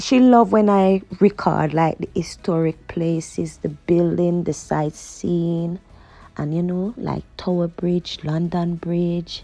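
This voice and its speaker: A woman with a Jamaican accent, fairly low in pitch, at a very slow pace with ordinary pitch variation over noticeable background noise. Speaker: vlogger. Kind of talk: casual vlog chat while driving. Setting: in a car at night. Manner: chatty, conversational.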